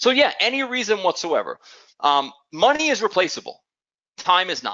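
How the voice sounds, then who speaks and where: With a New York accent and a high pitch, a man speaks at a moderate pace. His pitch swings very widely. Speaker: business owner pitching a program. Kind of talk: sales pitch.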